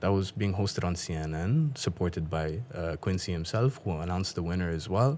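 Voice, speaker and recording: This is a man speaking. He has an Afghan accent. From Pakistan. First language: Dari. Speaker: guest who does accent impressions. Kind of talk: casual chat. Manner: animated.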